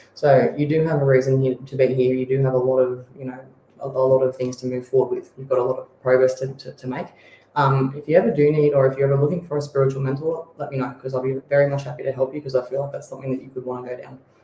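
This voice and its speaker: Speaking at a very fast pace, a man with a medium pitch keeps a flat, monotone delivery while his loudness swings widely over noticeable background noise. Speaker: psychic co-host. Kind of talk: psychic reading on radio.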